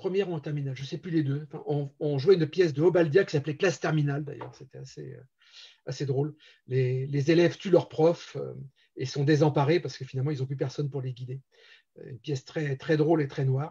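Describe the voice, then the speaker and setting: Very fast and somewhat breathy, a man talks in a fairly high voice with a dark, mellow tone. His intonation is fairly even, and his loudness swings widely. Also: quiet background. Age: 60s. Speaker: amateur theatre director and actor. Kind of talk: interview. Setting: live-streamed show. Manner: hesitant, many fillers.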